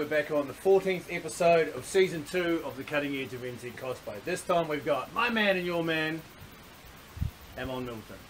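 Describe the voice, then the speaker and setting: Speaking at a fairly quick pace with a New Zealand accent, a man with a high pitch shows ordinary pitch variation and big swings in loudness, with noticeable background noise. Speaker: cosplay interviewer and channel host. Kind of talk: casual chat.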